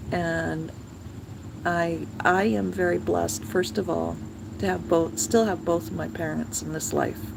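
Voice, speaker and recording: A woman with a very deep, low voice speaks at a fairly slow pace with very wide pitch swings, amid noticeable background noise and audible room echo. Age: 60s. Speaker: vlogger. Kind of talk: casual chat. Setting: outdoors. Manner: halting.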